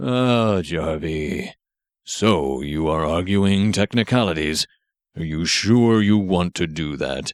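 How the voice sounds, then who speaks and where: Recorded dry and close with no echo and a silent background, a man does a put-on character voice with a very deep, low pitch. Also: fairly slow pace, lively intonation. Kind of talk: ceremonial courtroom speech. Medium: read story. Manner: formal, measured, addresses by full title.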